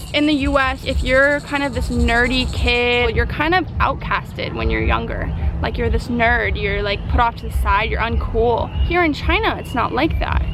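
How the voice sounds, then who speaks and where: A woman with an American accent talking with hardly any pauses, plus noticeable background noise and audible room echo. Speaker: travel vlogger. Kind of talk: travel vlog. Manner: fast; animated.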